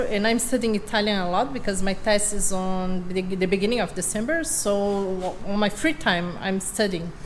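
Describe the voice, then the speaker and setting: Speaking at a moderate pace, a woman has a medium pitch with ordinary pitch variation. Audible room echo and noticeable background noise are present. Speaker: boat builder and vlogger. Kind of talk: casual chat.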